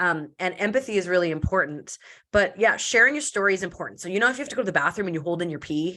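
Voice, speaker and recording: Loud and very fast, a woman speaks in a medium pitch with an animated tone. Her bright, sharp voice carries lively intonation. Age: 30s. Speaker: entrepreneur and podcast guest. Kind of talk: casual interview chat. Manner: fast, animated.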